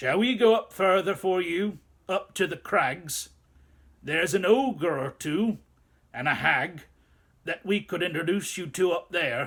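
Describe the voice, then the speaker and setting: A man puts on a character voice with a high pitch. He talks fairly slowly, with long, frequent pauses. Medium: read story.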